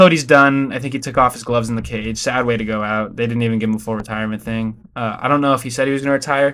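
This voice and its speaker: Here a man speaks at a very fast pace. His pitch is medium. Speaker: MMA YouTuber. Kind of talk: casual commentary video.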